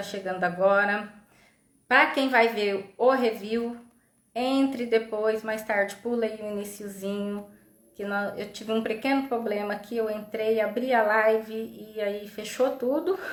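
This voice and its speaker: A woman speaks at a fairly slow pace and fairly high pitch. Audible room echo surrounds her voice. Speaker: psychologist, live stream host. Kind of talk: live stream talk. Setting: online live stream. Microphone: unstable internet connection.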